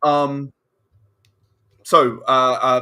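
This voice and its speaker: The man has a bright, sharp tone and a British accent. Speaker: game designer. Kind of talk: casual chat. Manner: halting.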